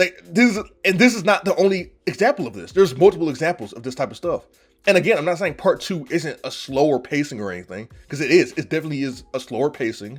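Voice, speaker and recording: Over background music, a man talks at a very fast pace with big swings in loudness and very wide pitch swings. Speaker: vtuber manga reviewer. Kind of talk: casual review rant. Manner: stuttering, repetitive; animated, passionate.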